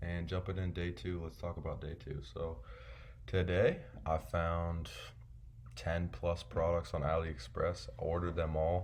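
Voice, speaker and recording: Speaking at a fairly slow pace, this somewhat breathy voice shows ordinary pitch variation. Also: man, very deep, low pitch for a man. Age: 20s. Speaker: online seller vlogger. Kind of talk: casual vlog monologue. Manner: casual, filler-heavy.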